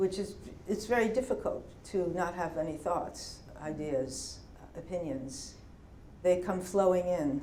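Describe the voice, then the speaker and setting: A woman with a New York accent, fairly low pitch and a fairly slow pace, amid noticeable background noise and audible room echo. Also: ordinary pitch variation. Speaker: poet. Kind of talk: Q&A after a poetry reading. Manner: thoughtful, slightly halting.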